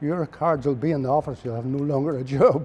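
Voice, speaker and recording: Music plays behind a man with a Northern Irish accent. His pitch varies an ordinary amount. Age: 80s+. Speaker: retired mechanic. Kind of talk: interview answer, reminiscing.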